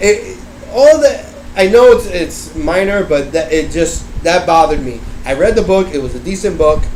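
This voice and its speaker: A man's high voice at a moderate pace, lively intonation, with noticeable background noise and audible room echo. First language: not English. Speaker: book reviewer. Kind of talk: casual chat. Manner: halting.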